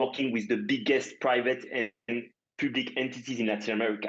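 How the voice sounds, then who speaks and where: A man of medium pitch with a French accent. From France. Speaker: startup founder. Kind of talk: interview podcast. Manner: halting, many fillers.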